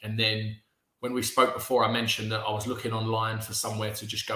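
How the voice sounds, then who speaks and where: A man's medium-pitched voice in a British accent, monotone and flat in intonation. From England. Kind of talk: interview answer. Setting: video call.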